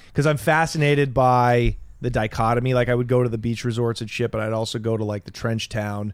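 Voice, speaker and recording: A man talks in a normal speaking voice at medium pitch and a fairly quick pace. His intonation is fairly even, and the recording is very clean with a silent background. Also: hardly any pauses. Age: 30s. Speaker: stand-up comedian and former drug smuggler. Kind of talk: casual chat.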